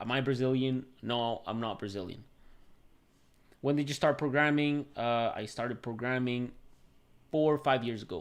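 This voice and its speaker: A man at medium pitch with a Venezuelan accent, fairly even intonation, a moderate pace, long and frequent pauses, and a quiet background. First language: Spanish. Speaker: tech YouTuber and software developer. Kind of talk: live stream Q&A with chat. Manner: casual, filler-heavy. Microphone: new mic.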